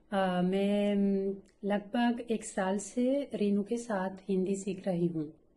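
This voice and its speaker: A woman's dark, mellow voice sits at a medium pitch, with fairly even intonation and very even loudness. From Italy. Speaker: schoolteacher, Hindi learner. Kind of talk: language-learning interview. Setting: online call. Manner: halting, many filler pauses.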